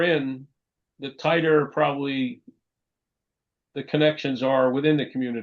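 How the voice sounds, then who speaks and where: At a moderate pace, a man talks in a New York accent. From New York, Long Island. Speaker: professor. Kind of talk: lecture. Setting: video call.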